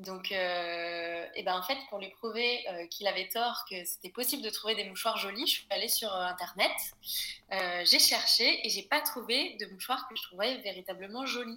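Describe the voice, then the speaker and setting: A woman speaks at a fairly high pitch and a moderate pace. Her pitch varies in an ordinary way over noticeable background noise. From Brittany, France. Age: 20s. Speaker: small business founder. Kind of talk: casual interview. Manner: hesitant, many fillers.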